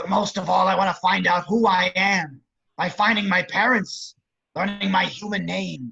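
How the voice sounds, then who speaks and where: A man puts on a raspy, menacing character voice that is raised and projected, pitched high, with ordinary pitch variation. He keeps a moderate pace. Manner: sly, menacing.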